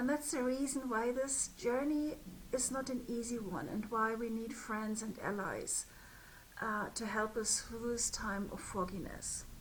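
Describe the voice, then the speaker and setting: A woman with a German accent speaks at a fairly slow pace and fairly high pitch. Her pitch varies in an ordinary way, and room echo is audible. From Germany. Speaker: spiritual business mentor. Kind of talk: direct-to-camera talk. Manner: hesitant, with fillers.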